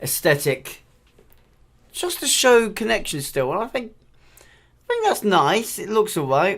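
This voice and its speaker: A very slow delivery with long, frequent pauses, on a very clean recording with a silent background. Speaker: gaming video creator. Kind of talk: game ship review commentary. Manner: stuttering; casual, chatty.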